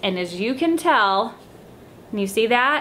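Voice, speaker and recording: There is light background noise. A woman speaks at a moderate pace. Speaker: beauty vlogger. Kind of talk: casual vlog chat. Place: home room. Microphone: camera far.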